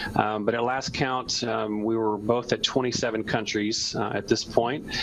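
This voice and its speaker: Noticeable background noise sits behind a man with a medium pitch. He talks at a moderate pace in a monotone, flat intonation. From North Carolina. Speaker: youth extension educator. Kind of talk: interview.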